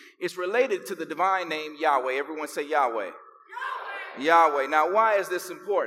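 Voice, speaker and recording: A man speaks with an American accent at a high pitch, with ordinary pitch variation. Background noise is noticeable. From Chicago, US. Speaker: pastor. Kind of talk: sermon. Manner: animated.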